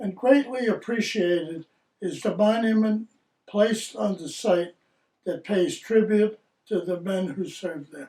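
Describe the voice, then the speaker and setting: The tone is dark and mellow, with big swings in loudness. The pace is fairly slow. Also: man, high pitch for a man, ordinary pitch variation. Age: 80s+. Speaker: army veteran. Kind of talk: scripted narration. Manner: formal.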